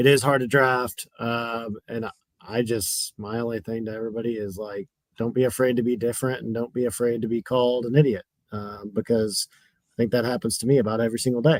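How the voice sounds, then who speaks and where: Fairly quick speech with fairly even intonation and big swings in loudness is captured with a dry, close sound with no echo. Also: man, medium pitch for a man. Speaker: fantasy sports player. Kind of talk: casual chat. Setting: video call. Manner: monotone.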